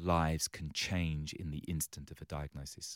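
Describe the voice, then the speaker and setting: A voice with an English accent comes through a very clean recording with a silent background, dry and close with no echo. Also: man. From London, England. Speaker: charity CEO. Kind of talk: interview.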